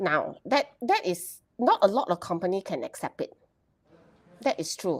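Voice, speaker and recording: With a Malaysian accent, a woman talks at a moderate pace with long, frequent pauses in a dry, close sound with no echo. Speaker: HR professional. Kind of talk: casual chat. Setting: live stream. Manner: loud.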